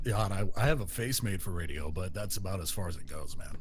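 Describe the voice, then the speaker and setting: Very deep and low, a man's somewhat breathy voice rushes along very fast with lively intonation. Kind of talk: radio personality.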